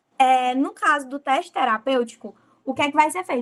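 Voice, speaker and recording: Speaking fairly slowly, a woman uses a high, bright, sharp voice with lively intonation. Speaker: medical student presenting a class. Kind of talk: lecture.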